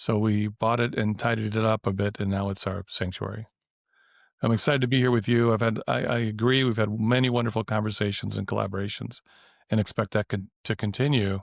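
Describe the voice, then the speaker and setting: In an American accent, a man talks at a fairly quick pace with a fairly low pitch and monotone, flat intonation, the sound dry and close with no echo. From US Midwest (Wisconsin). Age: 50s. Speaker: professor and health coach trainer. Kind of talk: podcast interview. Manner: halting, repeats words.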